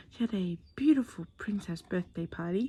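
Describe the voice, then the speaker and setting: A soft-spoken woman at a fairly slow pace. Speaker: plant hobbyist vlogger. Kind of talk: tutorial. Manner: quiet, soft-spoken; casual, chatty.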